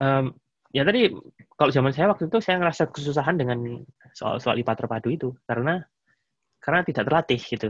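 A man's fairly high, somewhat breathy voice at a very fast pace, with lively intonation, long, frequent pauses, and a dry, close sound with no echo. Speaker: engineering professor. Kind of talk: casual interview. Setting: video call.

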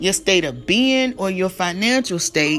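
An animated woman's voice at a fairly slow pace with very wide pitch swings, music playing in the background. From North Carolina. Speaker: livestream talk show host. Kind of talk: casual solo livestream chat.

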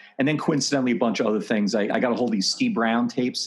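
At medium pitch, a man talks at a very fast pace. Noticeable background noise runs underneath. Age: 30s. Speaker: pastor. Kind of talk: interview. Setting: video call.

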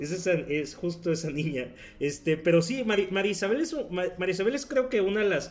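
Lively intonation marks this very slow delivery in a Mexican accent. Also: man, high pitch for a man. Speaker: podcast guest. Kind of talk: casual chat.

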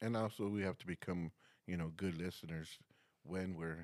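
With a very deep, low pitch, a man talks at a moderate pace and ordinary pitch variation. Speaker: podcast host. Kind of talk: casual podcast conversation.

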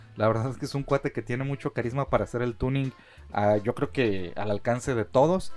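A man of medium pitch with a Mexican accent, a fairly quick pace and ordinary pitch variation, over music in the background. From Mexico. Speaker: podcast host. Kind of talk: casual chat.

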